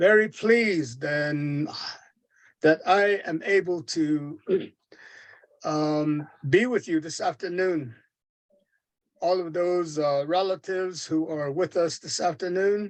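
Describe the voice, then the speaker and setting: This man talks at a very slow pace with long, frequent pauses, in a Navajo accent. His pitch is high, with ordinary variation. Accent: Navajo (Diné) English. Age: 70s. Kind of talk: seminar talk. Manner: halting, many fillers.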